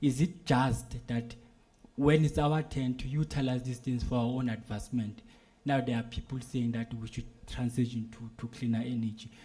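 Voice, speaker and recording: Here a man speaks at a moderate pace with fairly even intonation. His tone is dark and mellow, and somewhat breathy. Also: medium pitch for a man. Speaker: civil society delegate. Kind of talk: question from the floor at a policy meeting. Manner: halting, many fillers and repeats.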